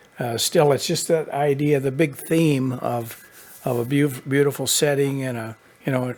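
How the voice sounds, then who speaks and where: Noticeable background noise is present throughout. Over it, a man's intonation stays fairly even. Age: 70s. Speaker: painter. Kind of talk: interview. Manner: halting.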